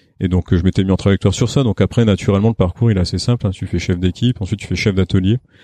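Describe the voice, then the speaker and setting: In a quiet background, a man speaks with a very deep, low pitch, a dark, mellow tone and fairly even intonation, the sound dry and close with no echo. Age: 40s. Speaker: factory director, engineer. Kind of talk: interview.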